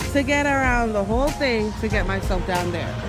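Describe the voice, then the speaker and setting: Clear music plays behind a woman whose voice has a dry sound with no echo. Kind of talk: casual vlog chat. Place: street. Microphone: phone near.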